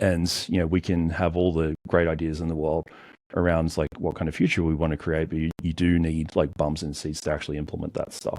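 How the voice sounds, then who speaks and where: Speaking at a fairly quick pace, a man with an Australian accent has a very deep, low pitch. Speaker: cybersecurity entrepreneur. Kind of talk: podcast interview. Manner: hesitant, filler-heavy.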